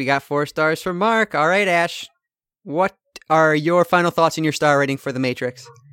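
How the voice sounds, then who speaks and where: The sound is dry and close with no echo as a man with an ordinary speaking voice talks at a fairly high pitch with ordinary pitch variation. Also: moderate pace. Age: 30s. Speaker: podcast co-host. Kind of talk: casual chat about films.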